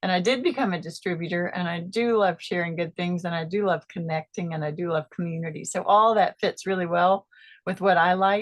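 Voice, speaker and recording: The sound is dry and close with no echo, over a quiet background. A woman with an unremarkable speaking voice and a fairly low pitch talks with fairly even intonation and hardly any pauses. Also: fairly quick pace. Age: 50s. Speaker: product distributor giving testimony. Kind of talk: testimony.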